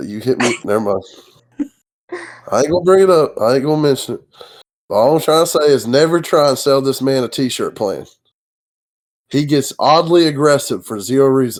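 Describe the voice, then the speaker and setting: Here a man with an Appalachian accent speaks at a fairly quick pace and fairly high pitch. His pitch varies in an ordinary way, with long, frequent pauses. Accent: Appalachian Kentucky. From Kentucky. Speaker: gamer. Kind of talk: casual podcast chat.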